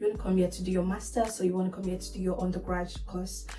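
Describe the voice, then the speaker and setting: A woman with a Nigerian accent and medium pitch speaks in a flat monotone, with music in the background and audible room echo. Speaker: nursing student and vlogger. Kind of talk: casual talk to camera.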